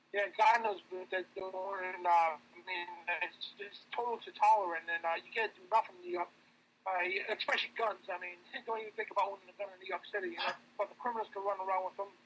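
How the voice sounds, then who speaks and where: Speaking very fast in a high pitch, the man keeps his intonation fairly even while his loudness swings widely over noticeable background noise. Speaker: radio show host and reporter. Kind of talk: casual interview chat.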